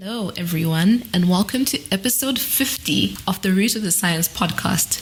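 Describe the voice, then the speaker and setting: There is noticeable background noise behind this woman. Her fairly low voice has lively intonation and moves at a moderate pace. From Zimbabwe. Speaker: guest podcast host, PhD student. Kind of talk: podcast hosting. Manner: scripted intro.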